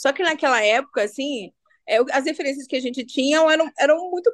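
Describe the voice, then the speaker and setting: A woman's high-pitched voice at a fairly quick pace, dry and close with no echo. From Brazil, Belo Horizonte favela. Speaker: community leader and cultural manager. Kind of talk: interview conversation.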